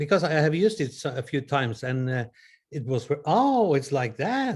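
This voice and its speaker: A somewhat breathy voice with a Norwegian accent and very wide pitch swings. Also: man. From Norway. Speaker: audience participant. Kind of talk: question from the audience.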